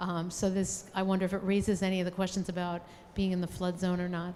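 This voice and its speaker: A woman speaks very fast at a medium pitch, her intonation flat and monotone. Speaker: audience member, city employee. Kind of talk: audience question.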